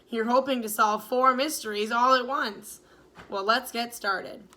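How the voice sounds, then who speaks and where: A woman puts on a raspy character voice at a high pitch, talking at a moderate pace. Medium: read story. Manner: dignified, measured.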